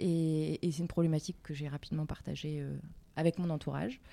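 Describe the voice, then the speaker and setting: At a fairly quick pace, a woman speaks with a very deep, low pitch, a dark, mellow tone and ordinary pitch variation. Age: 30s. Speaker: entrepreneur. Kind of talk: interview.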